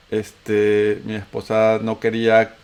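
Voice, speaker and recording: A man with a Venezuelan accent talks in a fairly low pitch. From Venezuela (raised), born in Antioquia, Colombia. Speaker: podcast host. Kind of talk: casual chat.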